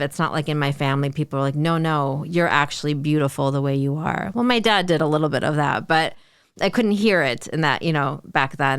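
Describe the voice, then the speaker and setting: On a very clean recording with total silence behind it, the talking proceeds at a middling speed. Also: woman. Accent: American. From Chicago suburbs, Illinois. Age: 40s. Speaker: community organizer. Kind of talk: interview.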